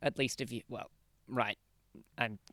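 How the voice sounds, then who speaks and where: A man speaks at a fairly slow pace with vocal fry. The sound is dry and close, with no echo. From Australia, Queensland. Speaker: game streamer. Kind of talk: casual live-stream chat while gaming. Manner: casual, frequent swearing and filler words.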